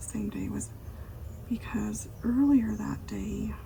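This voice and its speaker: A soft-spoken woman talks amid noticeable background noise and audible room echo. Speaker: ASMR creator. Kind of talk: soft-spoken ASMR chat.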